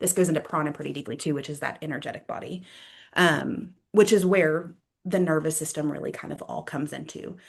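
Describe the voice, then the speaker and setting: A woman with vocal fry and a very deep, low pitch talks fairly quickly with ordinary pitch variation. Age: 30s. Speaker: yoga therapist and mind-body practitioner. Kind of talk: interview conversation. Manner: fast.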